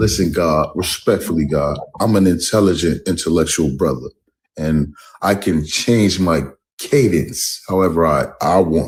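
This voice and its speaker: A man with an American accent speaks in a very deep, low voice at a fairly slow pace. His loudness stays very even, and his pitch varies in an ordinary way. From Brooklyn, New York. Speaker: caller on live stream. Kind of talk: heated debate. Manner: proper, deliberately changed cadence.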